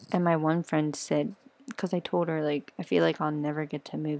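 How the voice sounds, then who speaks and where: Speaking quietly at a moderate pace, a woman with a very deep, low pitch keeps her intonation fairly even on a very clean recording with a silent background. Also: dry, close sound with no echo. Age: 20s. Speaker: vlogger sharing personal struggles. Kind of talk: personal testimony vlog. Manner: quiet, hushed; halting.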